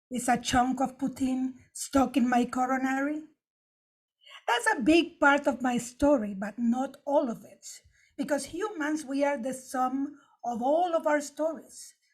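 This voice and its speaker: A woman with a Spanish accent, high-pitched and fairly slow. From Nicaragua. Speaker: stand-up comedian. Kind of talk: prepared opening remarks with jokes.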